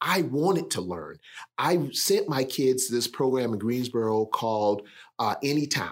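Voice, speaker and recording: A man with an American accent and an unremarkable speaking voice, medium in pitch, with lively intonation at a fairly slow pace. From South Carolina. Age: 60s. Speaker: keynote speaker. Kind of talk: casual chat.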